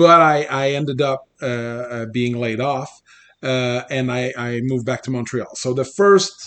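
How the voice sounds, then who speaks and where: With a slight Quebec accent, the speaker talks at a fairly slow pace with ordinary pitch variation. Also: man, medium pitch for a man. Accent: light Québécois French accent in English. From Quebec, Abitibi region. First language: French. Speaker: computer programmer and former political candidate. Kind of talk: casual interview conversation. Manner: good-humored, laughs often.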